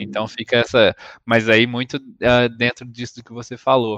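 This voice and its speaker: A man at medium pitch, dry and close with no echo, against a quiet background. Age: 30s. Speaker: podcast host. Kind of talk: interview.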